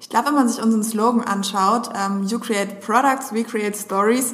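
At a very fast pace, a woman talks in a fairly high voice with fairly even intonation over noticeable background noise. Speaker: social media agency strategist and podcast co-host. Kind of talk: casual chat.

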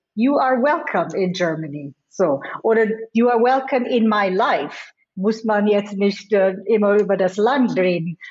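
A woman talks at a fairly slow pace in a medium pitch, her loudness very even throughout. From India and the US. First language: not German (Indian languages/English) (speaking German). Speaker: business executive. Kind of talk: interview. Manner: frequent hesitations and English code-switching.

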